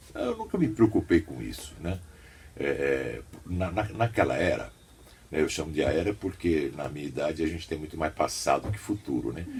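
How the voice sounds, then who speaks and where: Against music in the background, a man with a very deep, low voice speaks at a moderate pace with lively intonation. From São Paulo state, Brazil. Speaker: radio announcer and journalist. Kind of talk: interview.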